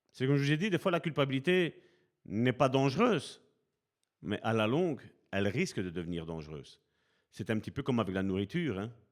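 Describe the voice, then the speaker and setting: Over a very clean recording with a silent background, a man at medium pitch makes very wide pitch swings and takes long, frequent pauses. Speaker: preacher. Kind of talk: sermon. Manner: slow, deliberate pace.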